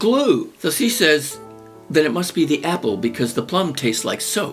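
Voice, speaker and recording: A man's lively-toned speech at a fairly slow pace, with music in the background. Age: old. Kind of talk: comedic storytelling monologue. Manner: casual, reminiscing.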